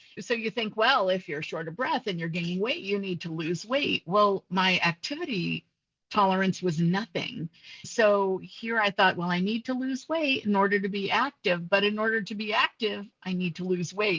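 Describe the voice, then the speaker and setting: This woman has an ordinary speaking voice at a medium pitch, with lively intonation and a moderate pace. The sound is dry and close, with no echo. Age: 60s. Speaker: nurse and bariatric surgery patient. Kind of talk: interview testimony.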